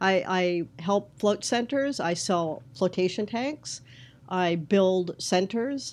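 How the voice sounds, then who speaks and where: A woman speaks at a very slow pace with a medium pitch. Her intonation is lively. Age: 60s. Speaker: float tank business consultant. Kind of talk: interview.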